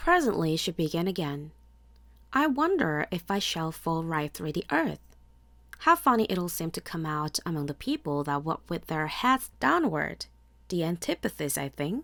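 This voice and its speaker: Soft-spoken and fairly low in pitch, a woman speaks at a moderate pace with lively intonation on a very clean recording with a silent background. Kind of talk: bedtime story reading.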